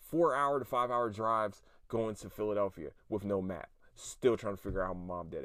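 Over a silent background in a very clean recording, a man with a fairly low pitch talks in an animated tone, with ordinary pitch variation and big swings in loudness. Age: 30s. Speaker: podcast host. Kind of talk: casual solo monologue.

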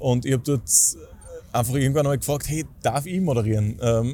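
A man talks at a very fast pace in a fairly high voice with a dark, mellow tone. His delivery is somewhat breathy, with ordinary pitch variation. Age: 20s. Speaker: stadium announcer and event host. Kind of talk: casual interview.

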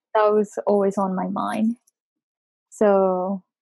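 In a Japanese accent, a woman speaks at medium pitch with monotone, flat intonation, the sound dry and close with no echo. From Bangkok, Thailand, Japanese community. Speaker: podcast co-host. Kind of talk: personal life story in casual chat.

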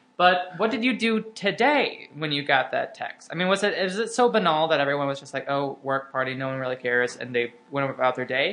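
A man's fairly high voice with very wide pitch swings, hardly any pauses, and noticeable background noise. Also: fairly quick pace. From Arkansas. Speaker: comedian and podcast co-host. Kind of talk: casual chat.

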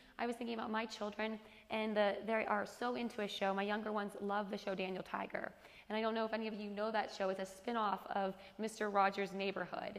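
A woman speaks very fast at a medium pitch in a monotone, flat way over noticeable background noise. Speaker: women's Bible study teacher. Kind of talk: Bible study teaching. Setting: group gathering with amplified sound.

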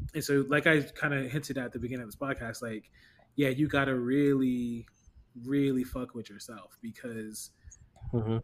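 Here a man has a plain, everyday voice at medium pitch. He speaks at a moderate pace with fairly even intonation. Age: 30s. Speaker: podcast co-host. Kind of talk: casual chat.

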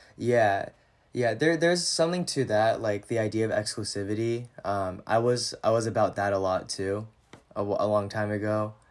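In an ordinary speaking voice with an American accent, the speaker talks at a moderate pace with ordinary pitch variation on a very clean recording with a silent background. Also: man, medium pitch for a man. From US Pacific Northwest, Washington (San Juan Islands). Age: 20s. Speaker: former social media influencer. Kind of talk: casual chat.

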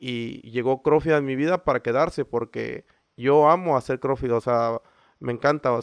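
In a dry, close sound with no echo, a man with an ordinary speaking voice of medium pitch talks at a moderate pace with fairly even intonation. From Mexico, Veracruz. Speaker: CrossFit coach and gym founder. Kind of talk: interview.

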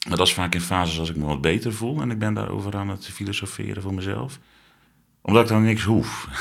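Amid audible room echo, a man speaks very fast with ordinary pitch variation. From Zeeland. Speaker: interviewee sharing mental health experience. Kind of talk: personal testimony interview.

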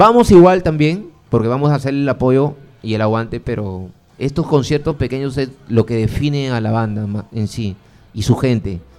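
With lively intonation at a moderate pace, a man of medium pitch speaks in an unremarkable speaking voice. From Piura, northern Peru. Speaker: rock fan community organizer. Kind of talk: casual interview chat.

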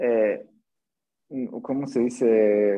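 A man speaks very slowly in a dark, mellow tone. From Mexico, Atlixco, Puebla. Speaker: circus artist and acrobatics coach. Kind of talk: interview. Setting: live stream.

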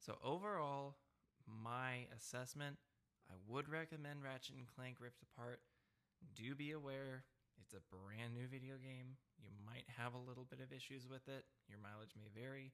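A man talks at a moderate pace with a medium pitch. His is an unremarkable speaking voice with ordinary pitch variation. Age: 20s. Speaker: podcast host. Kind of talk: casual chat.

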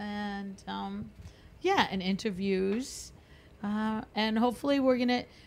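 The speech moves at a very slow pace. Noticeable background noise sits behind it. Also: woman, medium pitch for a woman, fairly even intonation. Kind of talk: casual chat.

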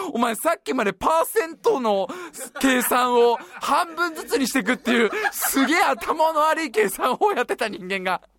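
An animated man's voice at an extremely high pitch, with very wide pitch swings, a moderate pace, and a dry, close sound with no echo. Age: 30s. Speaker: podcast host. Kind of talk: casual chat.

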